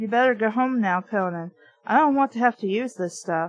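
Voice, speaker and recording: Putting on a squeaky character voice, a woman speaks at a fairly quick pace and a fairly high pitch. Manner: trying to sound tough.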